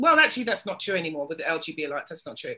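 In a British accent, a woman speaks with a bright, sharp tone. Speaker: podcast host. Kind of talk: casual chat. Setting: video call.

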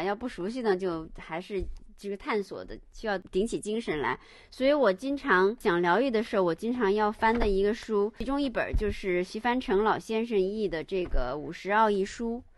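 Over a quiet background, a woman with an ordinary speaking voice talks at a moderate pace in a fairly high pitch with lively intonation. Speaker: art historian and lecturer. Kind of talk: casual chat. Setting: remote call.

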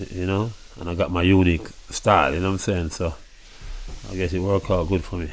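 A very fast pace broken by long, frequent pauses. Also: man, very deep, low pitch for a man. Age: 30s. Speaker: musician. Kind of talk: interview. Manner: casual, laughing.

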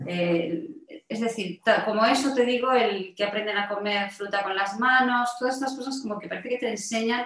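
The voice is an ordinary speaking voice with ordinary pitch variation. The pace is moderate. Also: woman, fairly high pitch for a woman. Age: 50s. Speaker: health coach and mentor. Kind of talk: interview.

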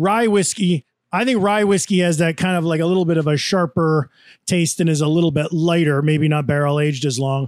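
A man with a normal speaking voice, fairly high in pitch, at a fairly quick pace and very even loudness, in a very clean recording with a silent background. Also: ordinary pitch variation. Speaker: podcast co-host. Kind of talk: casual chat.

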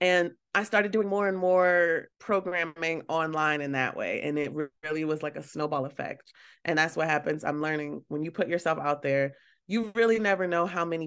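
A woman's very deep, low pitch in an American accent, a fairly quick pace, and a quiet background. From Baltimore, US. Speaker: curator and art dealer. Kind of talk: casual interview chat.

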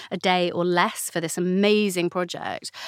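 Her pitch is medium for a woman. The recording is very clean, and the background is silent. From North London, England. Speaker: novelist. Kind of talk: casual interview chat.

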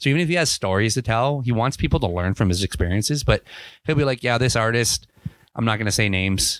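The speaker has a Canadian accent and talks at a very fast pace with very even loudness. The recording is very clean with a silent background and a dry, close sound with no echo. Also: man, medium pitch for a man, ordinary pitch variation. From Ontario, Canada. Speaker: podcast host and band member. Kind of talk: casual chat.

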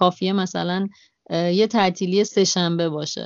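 Her pitch fairly low, a woman talks with monotone, flat intonation. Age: 30s. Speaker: travel podcaster and cafe-gallery owner. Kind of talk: interview. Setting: Skype call.

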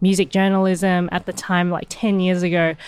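A woman's medium-pitched voice with an Australian accent, in a very clean recording over a silent background. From Hong Kong, raised in Australia. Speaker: musician. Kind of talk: interview. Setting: backstage.

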